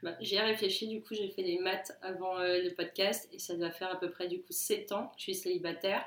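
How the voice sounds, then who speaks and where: A woman's medium pitch, monotone and flat, at a moderate pace with hardly any pauses. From southern France, Toulon. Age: 20s. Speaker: podcast guest, digital media worker. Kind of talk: casual chat.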